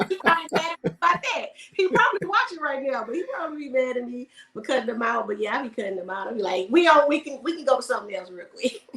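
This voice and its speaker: Over noticeable background noise, a high-pitched woman with an American accent talks very fast, with very wide pitch swings and big swings in loudness. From Houston, Texas. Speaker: air force veteran and video creator. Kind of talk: casual chat.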